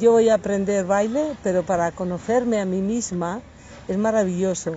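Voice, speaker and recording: At a fairly slow pace, a woman speaks at a medium pitch in a somewhat breathy voice. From Asturias, Spain. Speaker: belly dance teacher. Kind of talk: interview. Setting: outdoors in a park.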